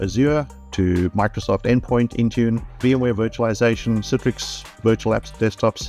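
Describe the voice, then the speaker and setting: A man with a South African accent speaks at a medium pitch and a very even loudness. Music plays in the background. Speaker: IT trainer. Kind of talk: testimonial interview answer.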